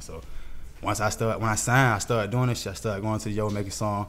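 In a room with audible echo, a man speaks at a very fast pace. His pitch is fairly low. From Atlanta, Georgia (Southside, Zone 3). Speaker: rapper. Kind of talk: casual interview chat.

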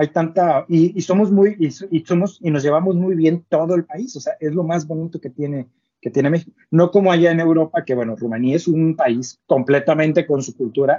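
A man speaks in a plain, everyday voice at a fairly high pitch. His pace is moderate, with ordinary pitch variation. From northern Mexico, Ciudad Victoria. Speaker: robotics company co-founder, doctoral researcher. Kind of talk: casual interview.

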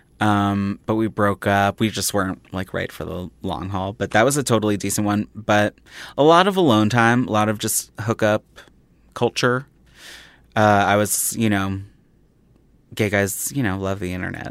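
The sound is dry and close with no echo as a man speaks at a moderate pace, leaving long, frequent pauses. His pitch is fairly low and his intonation fairly even. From Philadelphia, US. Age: 30s. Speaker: comedian and TV writer. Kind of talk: casual chat.

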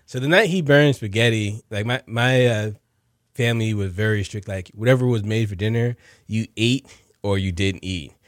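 In a very clean recording with a silent background, a man with a plain, everyday voice talks at a fairly quick pace, his fairly low pitch showing ordinary variation. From New Jersey. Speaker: chef and food truck owner. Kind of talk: interview.

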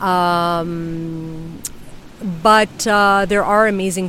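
Pitched fairly low, a woman with a New York accent speaks in a monotone, flat intonation. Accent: New York American English. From New York City. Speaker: flamenco dancer and singer-songwriter. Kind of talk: casual interview chat. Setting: outdoors on a beach. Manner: halting, many fillers.

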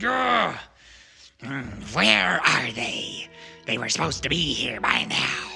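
Over faint music in the background, a man puts on a raspy character voice with a high pitch, speaking at a fairly slow pace with long, frequent pauses. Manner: mumbling impatiently.

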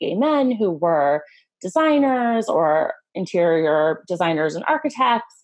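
In a Californian accent, a woman speaks at a medium pitch. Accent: Californian American. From Los Angeles, California. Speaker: designer and content creator. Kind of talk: casual interview chat.

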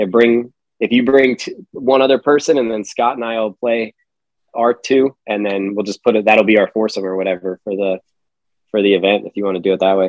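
A man talks in a plain, everyday voice with a fairly low pitch. His pace is fairly quick and his intonation fairly even. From Pennsylvania. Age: 30s. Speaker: Marine veteran and golf company founder. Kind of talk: casual interview chat.

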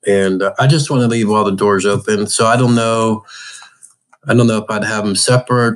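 Talking at a fairly quick pace, a man with a medium-pitched voice keeps his intonation fairly even in a plain, everyday voice. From Pittsburgh, Pennsylvania. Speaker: adaptive hunter and angler. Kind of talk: casual interview.

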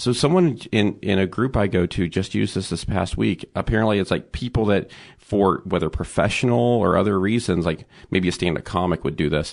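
A man with a very deep, low pitch speaks at a fairly quick pace, his intonation lively and his voice showing vocal fry. His loudness stays very even against a quiet background. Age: 30s. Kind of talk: testimony.

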